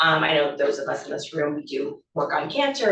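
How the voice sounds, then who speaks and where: A woman with an American accent and a very deep, low pitch, at a fairly quick pace amid audible room echo. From Pittsburgh, Pennsylvania. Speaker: cancer researcher. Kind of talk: lecture. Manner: fast; casual, filler-heavy.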